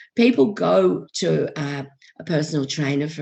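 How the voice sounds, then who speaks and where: A woman's voice with vocal fry. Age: 60s. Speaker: life coach. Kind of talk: podcast interview. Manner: hesitant, frequent ums.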